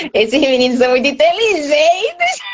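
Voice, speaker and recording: Her intonation is lively as this woman speaks at a moderate pace. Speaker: sign language teacher. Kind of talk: live online class. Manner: animated.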